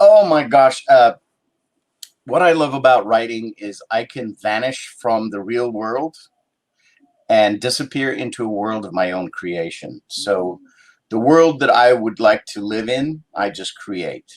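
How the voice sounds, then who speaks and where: With big swings in loudness, a man with an ordinary speaking voice talks at a fairly slow pace and medium pitch with ordinary pitch variation. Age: 60s. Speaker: actor and writer. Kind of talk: interview.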